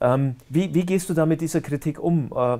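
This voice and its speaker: With only a quiet background around him, a man is speaking. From Bavaria. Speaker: online talk show host; interviewer, show host. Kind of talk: interview. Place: studio. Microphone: lapel.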